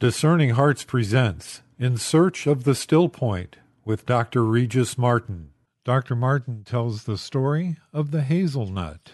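In a dry, close recording with no echo, a man with an unremarkable speaking voice talks fairly slowly at medium pitch with lively intonation. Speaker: podcast announcer. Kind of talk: scripted intro and outro announcement.

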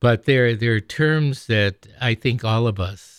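On a very clean recording with a silent background and a dry, close sound with no echo, a man talks very slowly with ordinary pitch variation. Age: 70s. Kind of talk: religious meditation talk. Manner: halting, with filler words.

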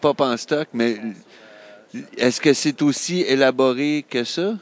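A man of medium pitch with a Quebec accent and lively intonation, the sound dry and close with no echo. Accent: Québécois French. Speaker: comics fan. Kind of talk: casual chat.

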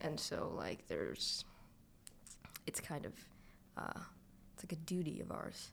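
A whispering woman with a Toronto accent, fairly slow and broken by long, frequent pauses. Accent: Toronto Canadian English. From Toronto (Scarborough), Canada. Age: 20s. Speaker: recent graduate, writer and dancer. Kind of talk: casual chat.

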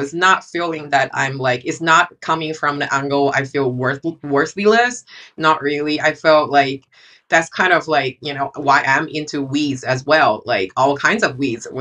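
In a Chinese accent, a woman speaks with a very deep, low pitch and a bright, sharp tone. Her pitch varies in an ordinary way at a moderate pace against a quiet background. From China. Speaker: photographer. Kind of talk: casual chat.

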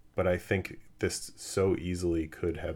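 A somewhat breathy man with a very deep, low pitch, monotone, flat intonation and an American accent. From Los Angeles. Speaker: podcast host. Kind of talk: casual chat. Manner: hesitant with many fillers.

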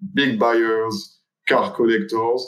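A man with a French accent. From France. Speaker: watch brand executive. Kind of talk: interview.

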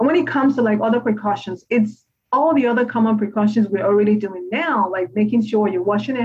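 Her pace is fairly quick and her pitch fairly high. The woman sounds somewhat breathy, with ordinary pitch variation. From Nigeria. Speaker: pediatrician. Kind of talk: interview.

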